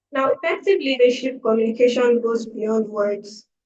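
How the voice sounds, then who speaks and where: At a fairly slow pace, a woman talks in a high voice. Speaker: leadership trainer. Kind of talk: online lecture.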